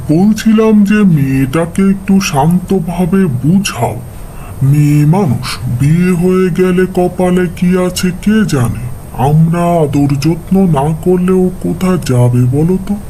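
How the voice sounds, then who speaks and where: In a cartoonish character voice, a man talks with a high pitch, very even loudness and a fairly slow pace over clear background noise. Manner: gentle, affectionate.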